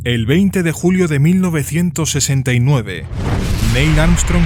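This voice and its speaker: A man talks fairly slowly while noticeable noise runs in the background. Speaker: voice actor. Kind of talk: audiobook narration.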